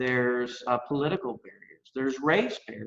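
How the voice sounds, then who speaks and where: A man with a Texas accent at a moderate pace. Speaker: workforce education expert. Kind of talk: interview.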